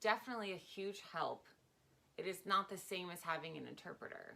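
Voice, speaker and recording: A woman with an American accent speaks at a medium pitch in a bright, sharp tone, her intonation fairly even and her voice showing vocal fry. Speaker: stripper and sign language interpreter. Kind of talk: casual interview. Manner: fast.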